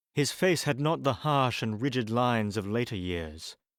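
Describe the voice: This is plain reading aloud. The intonation moves in a lively way.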